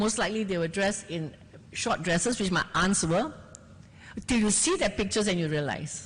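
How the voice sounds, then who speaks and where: The speaker is a woman with a somewhat breathy voice. She moves along fairly quickly. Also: medium pitch for a woman, lively intonation, very even loudness. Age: 70s. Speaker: journalist, festival panelist. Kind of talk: panel discussion. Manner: animated.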